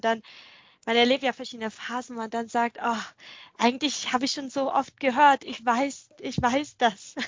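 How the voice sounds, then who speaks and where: A woman's high voice holds a monotone, flat intonation. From Vietnam. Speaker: podcast host. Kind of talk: scripted intro and interview. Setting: video call.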